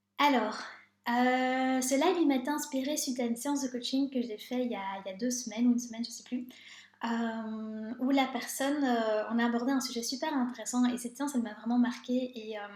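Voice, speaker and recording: Over noticeable background noise, a woman speaks at a fairly quick pace. Her pitch is high and her intonation fairly even. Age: 30s. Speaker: life coach. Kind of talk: live stream talk. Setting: live video stream. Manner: fast; hesitant, many filler sounds.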